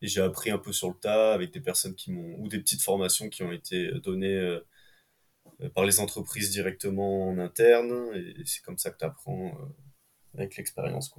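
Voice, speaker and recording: In a normal speaking voice, a man with a fairly low pitch talks at a moderate pace with lively intonation. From France, Ardèche. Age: 20s. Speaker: rope access technician. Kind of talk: casual interview chat.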